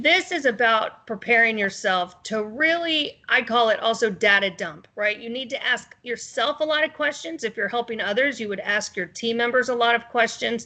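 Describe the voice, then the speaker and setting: A woman speaks loudly at a fairly high pitch and a moderate pace, with a bright, sharp tone, lively intonation and hardly any pauses. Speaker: sales trainer. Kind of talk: webinar presentation.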